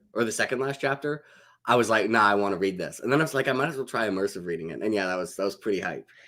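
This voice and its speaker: A man speaks with lively intonation at a medium pitch in a bright, sharp tone. The recording is very clean, with a silent background. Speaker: book YouTuber. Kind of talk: casual chat. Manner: fast.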